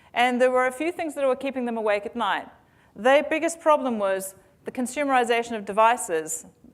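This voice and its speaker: Her pitch is high and her pace very fast, with lively intonation. The woman speaks with a New Zealand accent. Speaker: tech company founder and CEO. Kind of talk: conference keynote. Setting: stage with audience. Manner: hesitant with fillers.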